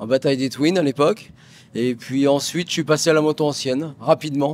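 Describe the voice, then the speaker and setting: Speaking at a fairly quick pace, a man uses a fairly high pitch. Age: 60s. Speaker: motorcycle racer. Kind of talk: interview. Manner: halting.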